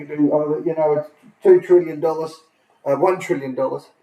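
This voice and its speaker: Putting on a character voice, a man mumbles at a fairly quick pace with fairly high pitch, monotone, flat intonation and big swings in loudness. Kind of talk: casual, hesitant. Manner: mumbling.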